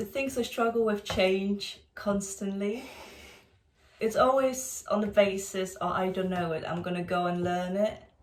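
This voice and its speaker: A woman's medium pitch at a fairly slow pace, with ordinary pitch variation and noticeable background noise. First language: Polish. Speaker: architecture student, channel co-host. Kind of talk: casual interview chat.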